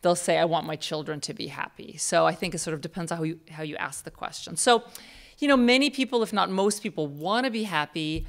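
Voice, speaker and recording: A woman speaks very fast in a Russian accent with lively intonation. Her pitch is fairly low, and the background is quiet. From Russia, moved to US at 10. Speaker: psychology professor. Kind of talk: lecture. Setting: stage with audience. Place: hall. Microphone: podium.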